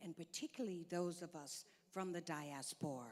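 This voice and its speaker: An unremarkable speaking voice with an American accent. It moves at a fairly slow pace with ordinary pitch variation. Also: woman. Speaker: diplomat. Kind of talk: conference speech. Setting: stage with audience.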